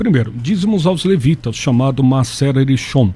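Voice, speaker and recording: Somewhat breathy, a man speaks at a medium pitch with a dark, mellow tone. His pace is moderate and his intonation lively. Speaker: pastor. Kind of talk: radio debate.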